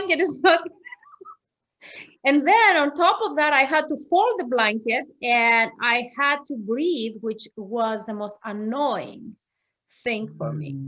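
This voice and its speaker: A woman speaks very slowly in a high pitch with a Greek accent. Her pitch swings very widely. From Greece. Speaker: yoga teacher. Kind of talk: interview. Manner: animated.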